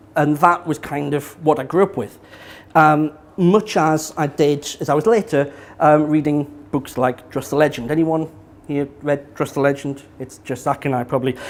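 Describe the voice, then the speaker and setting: Speaking with a slight northeast English accent, a man keeps a moderate pace at a fairly high pitch with ordinary pitch variation. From northeast England. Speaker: business consultant giving a talk. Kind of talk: public talk. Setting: small live audience in an event space. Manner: halting, many repetitions and fillers.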